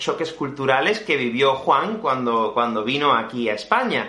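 Very wide pitch swings at a moderate pace, amid noticeable background noise and audible room echo. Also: man. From Spain. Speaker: Spanish teacher and podcast host. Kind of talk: interview podcast for language learners.

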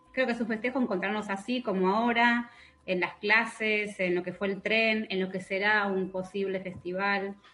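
A woman talking at a moderate pace, with music in the background. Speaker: school coordinator. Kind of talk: radio interview.

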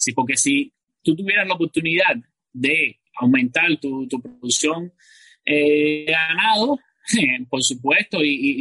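This man's fairly high voice has a bright, sharp tone. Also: dry, close sound with no echo. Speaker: podcaster and self-employed builder. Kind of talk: panel discussion. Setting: video call.

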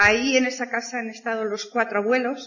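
A woman speaks at a fairly high pitch in a monotone, with flat intonation. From Spain, province of Burgos. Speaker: network marketing speaker. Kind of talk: motivational talk.

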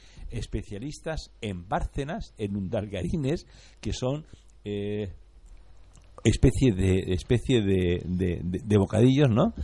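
Very slowly, a man speaks in a somewhat breathy, fairly low voice with a dark, mellow tone and lively intonation. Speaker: radio co-host. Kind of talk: live radio ad reading; casual chat.

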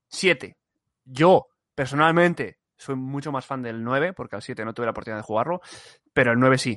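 His tone is bright and sharp, with very wide pitch swings. The man keeps a moderate pace, and the sound is dry and close with no echo. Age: 20s. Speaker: podcast co-host. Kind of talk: casual chat.

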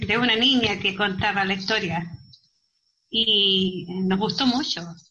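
Her words come very slowly. The woman's voice carries an audible echo from the room. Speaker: amateur actress. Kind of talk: interview.

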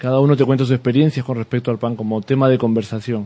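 A man's voice has a dark, mellow tone at medium pitch. The intonation is fairly even. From Peru. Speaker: artisan bakery owner. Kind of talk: radio interview. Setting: radio studio. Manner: halting, many repetitions and fillers.

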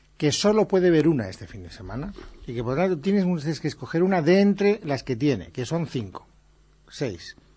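Lively intonation marks this man's high voice. He speaks at a moderate pace. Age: 50s. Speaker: radio host. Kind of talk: late-night radio film chat. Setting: radio studio.

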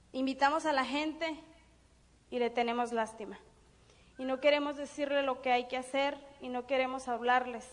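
Noticeable background noise runs behind a woman speaking at a high pitch and moderate pace. Her intonation is fairly even, broken by long, frequent pauses. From Mexico, Durango. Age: 30s. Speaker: network marketing business speaker. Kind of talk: motivational seminar talk. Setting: stage with audience.

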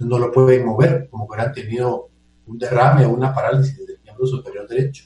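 With music in the background, a man speaks at medium pitch and a moderate pace. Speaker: physician and surgeon. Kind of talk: expert interview on radio. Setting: remote line into radio show from a computer. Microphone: choppy, cutting audio over headphones.

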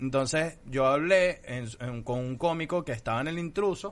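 With a plain, everyday voice, a man talks at a moderate pace and a fairly high pitch, his intonation lively. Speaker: comedian. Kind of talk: casual chat.

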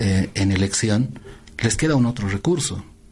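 Speaking at a fairly slow pace, a man uses a fairly low pitch with a dark, mellow tone. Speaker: tarot reader and political forecaster. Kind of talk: radio interview. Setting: radio studio.

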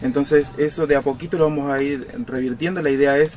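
Against music in the background, a man with a Rosario accent and a fairly high pitch talks at a moderate pace. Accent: Rioplatense Argentine Spanish (Rosario). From Argentina, Rosario (Santa Fe). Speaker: police chief. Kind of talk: radio interview. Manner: halting, with repeated words.

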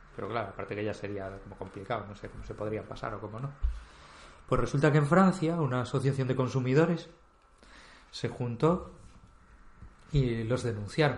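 The voice moves at a fairly quick pace with long, frequent pauses, big swings in loudness, lively intonation and a somewhat breathy quality, plus audible room echo. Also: man, medium pitch for a man. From Spain, Galicia (Vigo). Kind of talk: casual chat.

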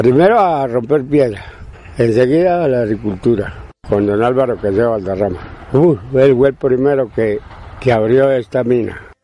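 Against noticeable background noise, a man at a medium pitch speaks at a fairly slow pace. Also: ordinary pitch variation. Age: 80s+. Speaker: retired miner and farmer. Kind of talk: interview. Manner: halting.

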